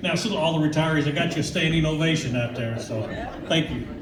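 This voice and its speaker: A man speaks at a fairly quick pace with an American accent and ordinary pitch variation. Audible room echo and noticeable background noise are present. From Kentucky, Louisville. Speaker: union official. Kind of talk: speech to audience. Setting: event hall with audience. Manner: casual, folksy.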